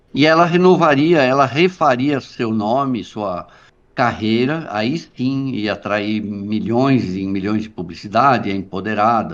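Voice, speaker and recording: An unremarkable speaking voice from a man at medium pitch, at a fairly slow pace. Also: lively intonation. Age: 60s. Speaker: journalist. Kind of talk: interview conversation.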